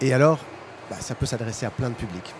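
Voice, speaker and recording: A man talks at a medium pitch with ordinary pitch variation. Noticeable background noise runs behind him. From Belgium. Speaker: startup founder presenting product. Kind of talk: conference presentation. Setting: stage with audience at trade fair. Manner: halting, many fillers.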